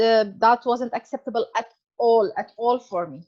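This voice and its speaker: A woman with a non-native accent speaks in a dry, close sound with no echo. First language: not English. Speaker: author sharing personal health story. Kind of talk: interview testimony. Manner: halting, many fillers.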